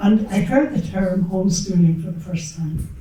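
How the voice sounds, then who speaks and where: Amid noticeable background noise and audible room echo, a woman with an Irish accent speaks at a medium pitch. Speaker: school founding parent, former nurse. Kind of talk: panel talk, personal story. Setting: event hall with audience, microphone.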